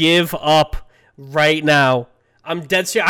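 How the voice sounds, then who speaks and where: A man speaks in a raised, projected voice. The tone is bright and sharp. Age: 20s. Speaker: podcast host. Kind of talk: casual chat.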